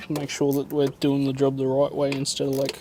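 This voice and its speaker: Soft-spoken and at a moderate pace, a man with an Australian accent talks in a fairly high pitch over noticeable background noise. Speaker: mechanic. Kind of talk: tutorial.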